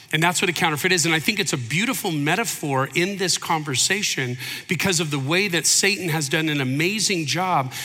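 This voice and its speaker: With an American accent and ordinary pitch variation, a man speaks amid audible room echo and noticeable background noise. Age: 50s. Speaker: pastor. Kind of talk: sermon. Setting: church.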